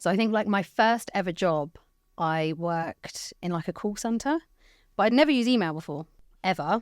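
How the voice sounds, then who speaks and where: With a southern English accent, a woman of medium pitch speaks at a moderate pace with lively intonation, sounding dry and close with no echo in a very clean recording with a silent background. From England, Hertfordshire (Watford). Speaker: IT channel executive. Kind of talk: podcast interview. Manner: loud.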